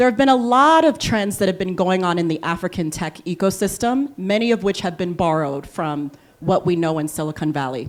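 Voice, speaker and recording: A woman speaks in an American accent at a medium pitch. Her intonation is lively and her pace moderate. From Liberia. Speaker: panel moderator, venture philanthropy investor. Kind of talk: panel discussion moderation.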